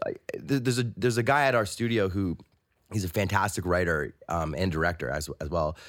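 In a very clean recording with a silent background, a man with a Canadian accent and a plain, everyday voice speaks at a fairly quick pace in a fairly low pitch with lively intonation. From Toronto. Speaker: audio director and composer. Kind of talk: casual chat. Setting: studio.

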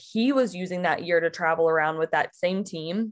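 In an unremarkable speaking voice, a woman with medium pitch and fairly even intonation talks at a moderate pace. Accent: American. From Mississippi, US South. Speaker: podcast guest sharing faith story. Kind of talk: casual chat. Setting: in person at her home.

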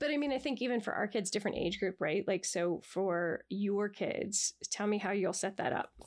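A woman with an ordinary speaking voice talks at a moderate pace, with hardly any pauses and very even loudness. Her pitch is medium with ordinary variation, and the recording is very clean with a silent background. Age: 50s. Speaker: therapist. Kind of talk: casual chat.

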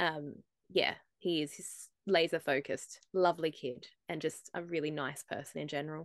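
A woman with a very deep, low pitch and a slight Australian accent speaks at a moderate pace. Her intonation is fairly even, her loudness swings widely, and the background is quiet. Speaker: motorsport journalist. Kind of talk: casual interview chat.

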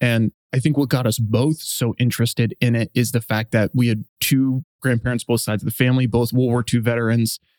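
On a very clean recording with a silent background, a man talks at a fairly quick pace and medium pitch, with hardly any pauses. His intonation is monotone and flat, and his loudness very even. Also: dry, close sound with no echo. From US, Los Angeles. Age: 30s. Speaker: investor and former marine officer. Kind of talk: interview conversation.

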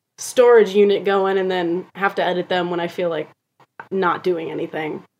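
This woman has a normal speaking voice, medium in pitch, and talks at a moderate pace. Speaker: actress and social media comedian. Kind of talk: casual chat.

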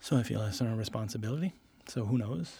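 Somewhat breathy and dark, mellow in tone, a man talks at a very fast pace in a medium pitch with ordinary pitch variation. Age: 40s. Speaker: designer. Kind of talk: interview.

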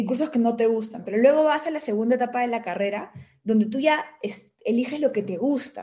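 Speaking at a fairly quick pace, a woman has a high pitch, ordinary pitch variation and a dark, mellow tone. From Peru. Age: 30s. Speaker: former government minister. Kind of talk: interview conversation.

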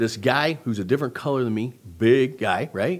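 A man talks at a moderate pace in a normal speaking voice. He has a fairly high pitch. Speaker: podcast host, doctor. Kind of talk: interview conversation.

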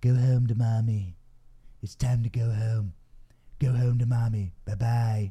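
A man's gravelly, put-on character voice, medium in pitch, at a fairly slow pace with long, frequent pauses. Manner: menacing, eerie.

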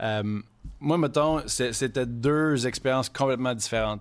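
In a very clean recording with a silent background, a man speaks very slowly at a medium pitch with ordinary pitch variation. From Quebec City. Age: 30s. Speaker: chef. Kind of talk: casual chat.

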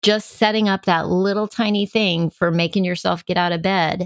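A woman's medium-pitched, monotone, flat voice in an American accent at a moderate pace, in a very clean recording with a silent background and a dry, close sound with no echo. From Texas, El Paso. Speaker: photographer and former actress. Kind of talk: interview.

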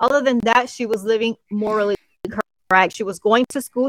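A woman with a Spanish accent speaks at a fairly high pitch with fairly even intonation, the sound dry and close with no echo. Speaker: co-host. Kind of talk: casual podcast chat.

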